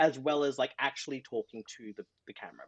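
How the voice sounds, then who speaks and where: This man speaks with an Australian accent at a fairly quick pace. His intonation is lively. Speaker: social media specialist and book content creator. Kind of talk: casual podcast interview. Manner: animated, with many false starts.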